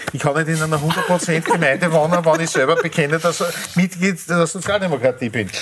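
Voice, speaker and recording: Speech races along at a very fast pace with hardly any pauses and fairly even intonation, over noticeable background noise. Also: man, high pitch for a man. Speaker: physicist. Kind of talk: panel discussion.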